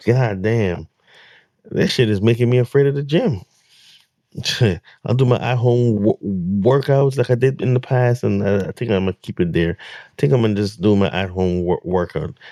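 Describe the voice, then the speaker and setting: Recorded dry and close with no echo, a man speaks at a moderate pace in a dark, mellow tone, medium in pitch with ordinary pitch variation. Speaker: reaction video host. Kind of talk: casual reaction commentary. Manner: stuttering, repeats words.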